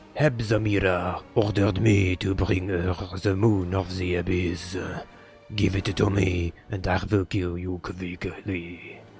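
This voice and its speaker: A man does a put-on character voice in a French accent, very deep and low in pitch. He speaks at a very slow pace over clear music in the background. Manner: menacing.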